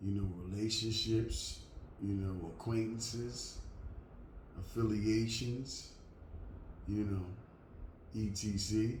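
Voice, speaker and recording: With audible room echo around him, a man of fairly low pitch speaks in a flat monotone at a very slow pace, with long, frequent pauses. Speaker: vlogger. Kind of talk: casual monologue to camera. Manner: loud; halting. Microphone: last video was too quiet.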